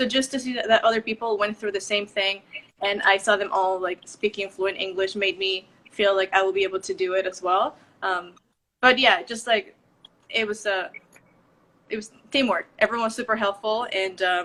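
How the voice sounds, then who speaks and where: The tone is bright and sharp, with a Spanish accent. Delivery runs at a moderate pace with fairly even intonation. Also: woman, medium pitch for a woman. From Mexico. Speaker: professional ballet dancer. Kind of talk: live video interview.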